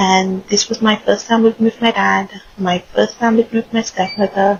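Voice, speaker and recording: Against noticeable background noise, a woman with fairly high pitch talks at a moderate pace with lively intonation. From Saint Lucia, then Ontario from age 12. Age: 40s. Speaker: life coach. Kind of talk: personal storytelling.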